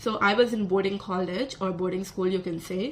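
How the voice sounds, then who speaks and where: With a Telugu accent, a woman speaks at a medium pitch. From South India. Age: 20s. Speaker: vlogger, psychology student. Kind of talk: casual vlog monologue.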